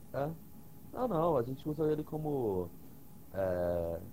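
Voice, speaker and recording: Very wide pitch swings mark a man's dark, mellow voice as he speaks at a very slow pace. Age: 20s. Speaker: podcast guest. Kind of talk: casual chat. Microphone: cutting out, hard to hear.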